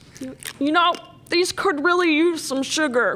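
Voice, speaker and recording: Someone does a put-on character voice, pitched high and delivered at a very slow pace. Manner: chewing while speaking.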